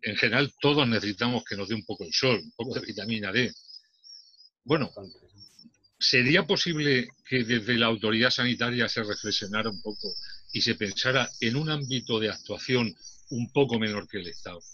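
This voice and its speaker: At a moderate pace, a man talks at a medium pitch. His pitch variation is ordinary. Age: 60s. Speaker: debate participant. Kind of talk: casual discussion. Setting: video call. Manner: halting.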